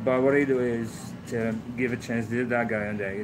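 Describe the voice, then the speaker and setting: In a Moroccan accent, a man speaks at a medium pitch and a moderate pace, his intonation monotone and flat. Noticeable background noise and audible room echo fill the recording. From Morocco. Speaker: truck driving instructor. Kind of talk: casual interview. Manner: halting.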